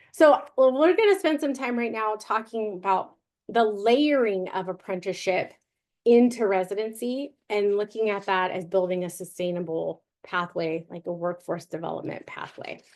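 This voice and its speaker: A woman with an unremarkable speaking voice talks at a moderate pace and a medium pitch. Her intonation is lively, and the background is quiet. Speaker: webinar presenter. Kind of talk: webinar presentation.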